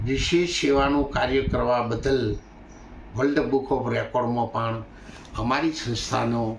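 With noticeable background noise and audible room echo, a man talks at medium pitch. His loudness stays very even and his intonation fairly even. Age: 70s. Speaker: religious leader. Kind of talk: interview statement. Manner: halting.

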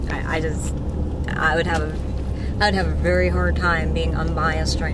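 Over loud background noise, a woman's voice comes through dry, with no echo. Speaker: vlogger. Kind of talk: casual vlog chat. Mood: indignant, exasperated. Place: car.

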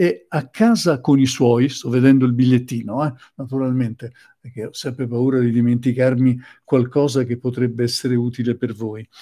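The tone is dark and mellow, the pace moderate, and the background quiet. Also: man, fairly even intonation. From Sicily. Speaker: psychotherapist; presenter. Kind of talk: lecture. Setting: live stream. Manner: halting. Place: home room. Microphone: webcam.

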